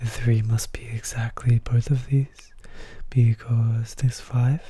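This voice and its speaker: A soft-spoken voice at a very slow pace. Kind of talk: soft-spoken ASMR puzzle commentary.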